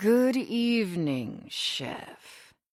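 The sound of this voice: Here a woman uses a put-on character voice. Her intonation is lively. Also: fairly high pitch for a woman.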